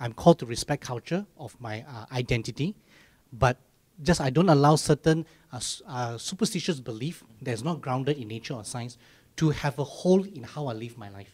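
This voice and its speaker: Somewhat breathy, a man talks with lively intonation and big swings in loudness. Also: moderate pace. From Malaysia. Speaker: church podcast host. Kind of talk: casual chat. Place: studio. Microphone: handheld.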